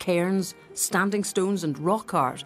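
Music in the background behind a woman at a fairly slow pace. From Scotland. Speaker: journalist. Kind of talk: documentary narration.

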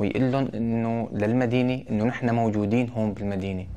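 A man's dark, mellow tone in monotone, flat intonation at a moderate pace. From Syria, Idlib province (Maarat al-Numan); Idlib province, Syria. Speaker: local election candidate; election candidate. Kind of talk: interview statement. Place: office. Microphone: lapel.

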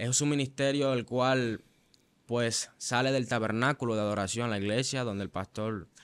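A man with a Venezuelan accent speaks at a medium pitch. His intonation is fairly even. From Venezuela, Maracay (Aragua). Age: young. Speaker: church musician and worship leader; interview guest. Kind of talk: testimony; interview answer. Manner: halting, with frequent fillers and repetitions. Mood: earnest, reflective. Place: studio. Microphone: studio mic.

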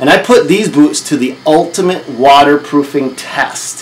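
Ordinary pitch variation from a man talking at a moderate pace. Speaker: contractor reviewing boots. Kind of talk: casual vlog chat. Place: office.

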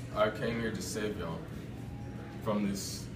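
At a fairly slow pace, a man talks while music plays in the background. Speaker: student actor in a role. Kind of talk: dramatic speech to listeners. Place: hall. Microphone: camera far.

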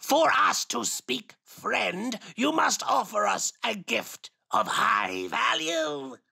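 Using a put-on character voice pitched high, a man speaks very slowly with hardly any pauses. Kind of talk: comic overacting. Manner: pompous, declaiming, easily offended.

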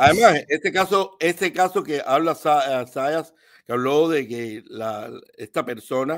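Speaking at a very slow pace, a man with a fairly high pitch uses lively intonation and big swings in loudness over a quiet background. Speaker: live stream call-in participant; remote guest commentator. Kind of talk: casual political discussion. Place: home room.

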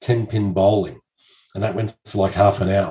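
Somewhat breathy with a dark, mellow tone, the voice moves at a moderate pace over a quiet background. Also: man. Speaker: podcast guest. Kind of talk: interview answer. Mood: cheerful storytelling. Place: home room. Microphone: studio mic.

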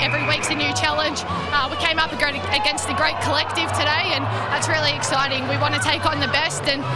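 Over loud music in the background, a woman talks at a very fast pace in a dry sound with no echo. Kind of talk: interview answer. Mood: happy and proud after the win. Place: stadium. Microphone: handheld.

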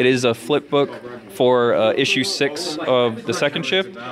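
Noticeable background noise sits behind a man who speaks with ordinary pitch variation. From Filipino heritage. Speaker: comic book artist. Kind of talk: casual interview. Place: cafe.

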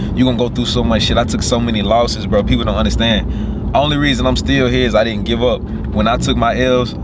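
Loud background noise surrounds a man speaking at a very fast pace, the sound dry with no echo. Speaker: car vlogger. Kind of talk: casual vlog chat. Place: car. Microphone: phone near.

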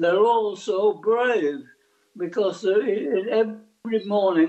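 This is a man with an English accent. His pitch is high. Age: 80s+. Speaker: army veteran. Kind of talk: news interview answer.

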